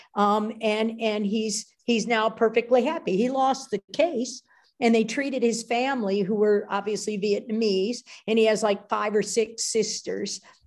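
A woman speaks at a fairly slow pace in a fairly high pitch. It is a normal speaking voice. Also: quiet background. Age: 60s. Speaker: biochemist. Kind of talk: interview with slide presentation.

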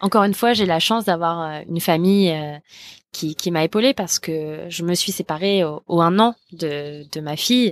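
Against a silent background, the recording is very clean. The delivery keeps a moderate pace and shows ordinary pitch variation. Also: woman, fairly low pitch for a woman. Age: 20s. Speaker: app co-founder. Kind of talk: casual interview. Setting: outdoor terrace at home. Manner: hesitant, many fillers.

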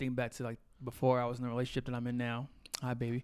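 A man with a medium-pitched voice speaks in an animated tone. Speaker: podcast host. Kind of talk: casual chat.

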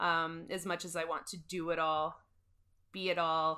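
In a Canadian Prairie accent, the speaker talks at a fairly slow pace with a bright, sharp tone and monotone, flat intonation. The recording is very clean, with a silent background. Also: woman. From Saskatchewan, Canada (Moose Jaw). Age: 30s. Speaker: podcast host and mental health peer support volunteer. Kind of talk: interview answers. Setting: in-person studio conversation.

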